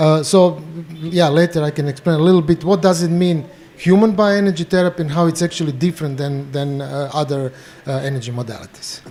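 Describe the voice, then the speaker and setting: With a Croatian accent, a man talks at a fairly quick pace, fairly high in pitch with ordinary variation, over noticeable background noise. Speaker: bioenergy therapist. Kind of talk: panel discussion introduction. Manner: halting.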